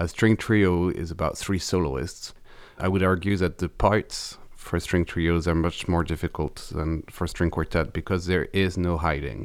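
With a French accent, a man talks at a fairly slow pace in a very deep, low pitch and fairly even intonation. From France. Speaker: violist. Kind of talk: interview.

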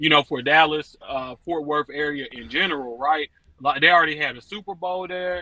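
A man with a normal speaking voice talks at a moderate pace, fairly high in pitch, with ordinary pitch variation and big swings in loudness. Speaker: caller. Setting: phone call.

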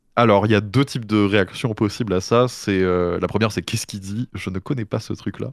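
A plain, everyday voice comes through at a fairly quick pace with hardly any pauses and fairly even intonation. The sound is dry and close with no echo, in a very clean recording with a silent background. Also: man, fairly low pitch for a man. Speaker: streamer and podcaster. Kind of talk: casual chat.

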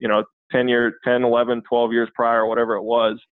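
The man's words come at a fairly quick pace. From Minnesota, US (southwestern, Redwood Falls). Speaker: football coach. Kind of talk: casual interview chat.

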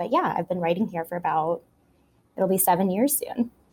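A woman speaks at medium pitch with ordinary pitch variation and a somewhat breathy quality. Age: young. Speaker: food video journalist. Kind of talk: interview. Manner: animated.

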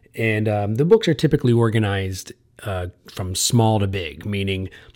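A man with an American accent, fairly low in pitch, with ordinary pitch variation and a fairly quick pace. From central New Jersey. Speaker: college professor and podcast host. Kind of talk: educational lecture podcast.

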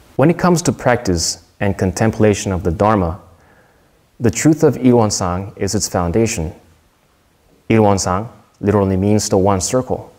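A man with a Korean accent speaks at a moderate pace and fairly low pitch, with lively intonation and long, frequent pauses. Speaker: soldier giving a Dharma talk. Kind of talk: prepared Dharma talk read aloud. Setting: temple service. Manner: formal.

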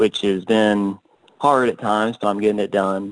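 A man with a normal speaking voice and an American accent, medium in pitch, at a moderate pace. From Georgia, US South. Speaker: competitive shooter. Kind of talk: casual interview.

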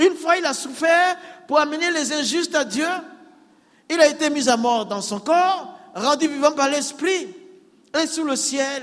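With an extremely high pitch, a man speaks at a fairly slow pace with long, frequent pauses and ordinary pitch variation over noticeable background noise. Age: 60s. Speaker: pastor, former imam. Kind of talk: testimony. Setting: church with congregation.

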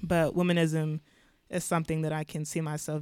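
An American accent with monotone, flat intonation at a fairly quick pace, on a very clean recording with a silent background. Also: woman. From US (Chicago and Atlanta). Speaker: undergraduate student. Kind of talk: casual chat.

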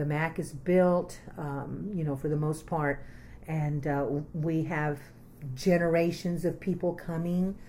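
A woman's very deep, low voice, dark and mellow and somewhat breathy, monotone and flat at a fairly slow pace, with audible room echo. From Texas, Austin area. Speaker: community arts organizer. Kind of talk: oral history interview.

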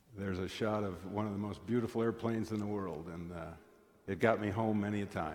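A man with an American accent talks very fast in a fairly low voice. His intonation stays fairly even, and the room echo is audible. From US Midwest (eastern South Dakota). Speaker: guest lay speaker at church. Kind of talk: sermon. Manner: conversational storytelling.

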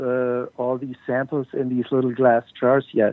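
Speaking very slowly, a man keeps a medium pitch and a monotone, flat intonation. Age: 60s. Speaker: cannabis photographer. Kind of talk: interview.

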